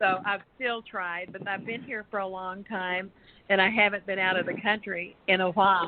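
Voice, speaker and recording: A woman with a Texas accent, medium in pitch, flat and monotone in intonation. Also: moderate pace. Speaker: radio guest, former radio worker. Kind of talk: casual chat. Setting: live online talk show.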